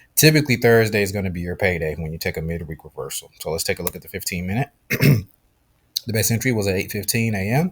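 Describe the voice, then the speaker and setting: A man speaks at a very fast pace in a fairly low, somewhat breathy voice. His intonation is lively. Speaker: trading educator. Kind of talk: tutorial. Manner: casual, with fillers.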